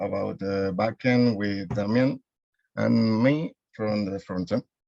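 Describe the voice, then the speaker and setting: Speaking very slowly with a Spanish accent, a man uses a fairly low pitch and fairly even intonation in a dry, close sound with no echo. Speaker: coding student. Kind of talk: project presentation. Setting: video call. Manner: halting.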